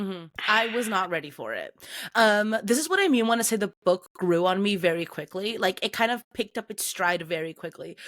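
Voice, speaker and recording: A woman with a normal speaking voice talks at a fairly quick pace and medium pitch, with ordinary pitch variation. The sound is dry and close, without echo. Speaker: book podcast co-host. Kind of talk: casual chat.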